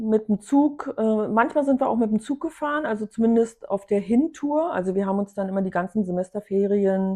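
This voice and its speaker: Fairly quick, lively speech in a dark, mellow tone, with hardly any pauses and a dry, close sound with no echo. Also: woman, fairly high pitch for a woman. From East Germany. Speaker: contemporary witness. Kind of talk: interview.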